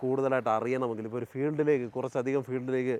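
The man's voice is a normal speaking voice with a medium pitch. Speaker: farming video host. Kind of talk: presenting a farm tour. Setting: outdoors.

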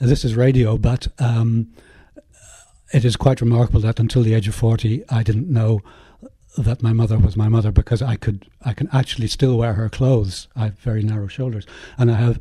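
In a Northern Irish accent, this somewhat breathy voice with a dark, mellow tone moves at a moderate pace with fairly even intonation. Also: man. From Northern Ireland, West Belfast. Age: 60s. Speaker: artist. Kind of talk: interview. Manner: halting.

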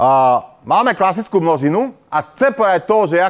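In a quiet background, a man talks at a moderate pace with a high pitch. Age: old. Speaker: university professor. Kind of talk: lecture. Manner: hesitant, many fillers. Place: classroom.

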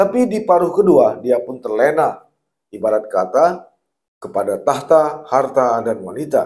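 Over a quiet background, a man with a fairly high pitch talks at a fairly slow pace, his voice making very wide pitch swings. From Aceh, Indonesia. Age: 50s. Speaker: journalist and commentator; journalist, commentator. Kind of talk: open letter read aloud. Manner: formal. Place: studio. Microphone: lapel.

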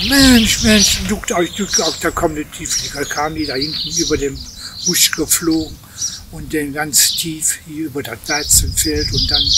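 A man speaks at a fairly slow pace over loud background noise. The sound is dry with no echo. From Velbert-Neviges, Bergisches Land. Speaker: war eyewitness. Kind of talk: interview answer. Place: street.

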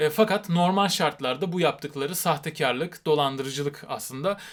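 Here a man talks in an animated tone at a fairly high pitch and fairly quick pace. The recording is very clean with a silent background, and his pitch variation is ordinary. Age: 30s. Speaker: YouTuber and rock musician. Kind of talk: vlog monologue.

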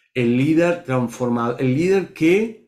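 Against a quiet background, a man talks with a fairly high voice. His intonation is lively. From Argentina, Córdoba; Argentina. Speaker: leadership coach guest. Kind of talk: interview storytelling. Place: home room. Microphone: video call.

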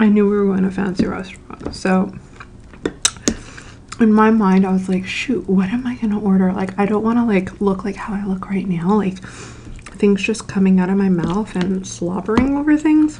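A soft-spoken woman whispers with long, frequent pauses. Light background noise is present. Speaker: ASMR creator. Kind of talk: casual talk to camera. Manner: soft-spoken, whispered.

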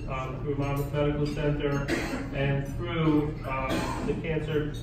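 A man at a moderate pace, with noticeable background noise and audible room echo. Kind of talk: lecture. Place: hall. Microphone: camera far.

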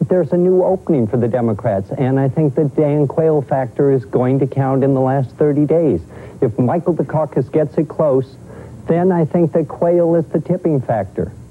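Moving at a moderate pace with few pauses, a man speaks at a fairly high pitch with ordinary pitch variation.

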